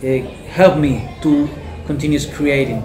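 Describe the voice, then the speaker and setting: A man with a Spanish accent talks at a fairly slow pace with fairly even intonation. Audible room echo and noticeable background noise fill the recording. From Cuba, Cienfuegos province. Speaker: painter and fisherman. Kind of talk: interview. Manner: halting, hesitant.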